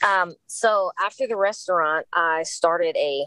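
Dry, close sound without echo, with an American accent. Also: woman. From Los Angeles, California. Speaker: entrepreneur and former police officer. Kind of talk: interview.

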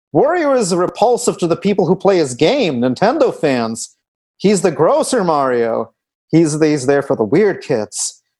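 Against a quiet background, a man with a high pitch and a dark, mellow tone talks at a moderate pace, his pitch swinging very widely. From Russia. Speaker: comedy writer. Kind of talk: casual chat.

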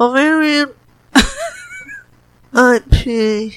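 This is a put-on character voice with a fairly high pitch. It sounds nasal. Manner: held throat, pretend.

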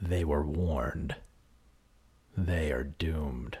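A man's put-on character voice, very deep and low, with fairly even intonation and a very slow pace. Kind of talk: announcer-style. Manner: dramatic, ominous.

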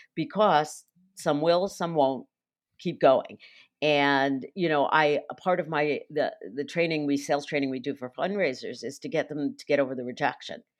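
Over a quiet background, the speech moves at a moderate pace with big swings in loudness and ordinary pitch variation. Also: woman, very deep, low pitch for a woman. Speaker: nonprofit fundraising consultant. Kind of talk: interview.

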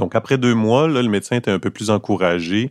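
A man with a Quebec accent and ordinary pitch variation, dry and close with no echo, in a very clean recording with a silent background. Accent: Québécois French. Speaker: actor and opera baritone. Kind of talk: casual chat. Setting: in a café.

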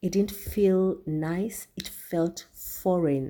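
The voice has a dark, mellow tone. It moves at a very slow pace. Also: woman. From Kenya. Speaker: spiritual podcast host. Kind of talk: solo spiritual talk. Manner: casual, meandering with fillers.

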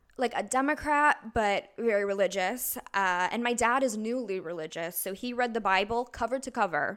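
A woman's fairly high, bright, sharp voice with an Upper Midwest accent and ordinary pitch variation. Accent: Upper Midwest American. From Wisconsin, Eau Claire. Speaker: musical theater performer. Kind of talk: casual chat.

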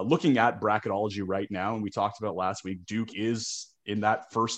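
A plain, everyday voice: a man with a Canadian accent, fairly low-pitched, at a moderate pace against a quiet background. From Toronto, Canada. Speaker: sportsbook odds maker. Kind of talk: casual chat.

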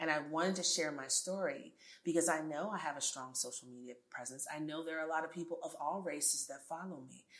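Talking very fast with an American accent, the speaker shows ordinary pitch variation and big swings in loudness. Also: woman, very deep, low pitch for a woman. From New York City. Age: 40s. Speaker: tech entrepreneur. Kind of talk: interview.

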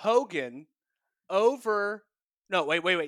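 A man's raised, projected voice with an American accent, high in pitch and bright and sharp in tone, moving at a very slow pace, the sound dry and close with no echo. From North Carolina, US South. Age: 30s. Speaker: video producer, podcast guest. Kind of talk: casual chat.

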